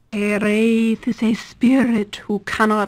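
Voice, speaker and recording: A female-sounding put-on character voice, pitched fairly high for a woman, speaks at a fairly slow pace in a monotone, flat intonation on a very clean recording with a silent background. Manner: grating, awful.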